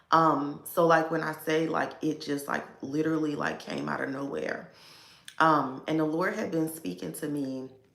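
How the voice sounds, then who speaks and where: Audible room echo surrounds a speaker with an American accent who talks at a fairly slow pace with ordinary pitch variation. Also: woman. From Baltimore, US. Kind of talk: casual livestream talk. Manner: filler-heavy, conversational.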